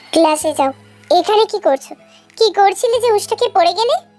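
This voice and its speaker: A woman's squeaky, put-on character voice at a moderate pace, with faint music in the background. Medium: read story. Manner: smug, domineering.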